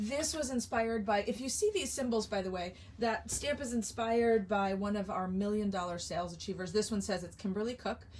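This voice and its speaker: Her voice is medium in pitch and somewhat breathy as this woman moves at a fairly quick pace with hardly any pauses. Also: ordinary pitch variation. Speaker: craft product demonstrator. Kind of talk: live sales stream. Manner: animated.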